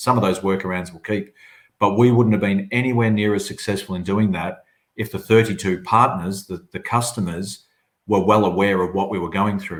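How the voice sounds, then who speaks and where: In an Australian accent, a man speaks at a fairly low pitch with fairly even intonation. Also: moderate pace. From southern Australia. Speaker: agency chief executive. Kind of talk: webinar panel discussion.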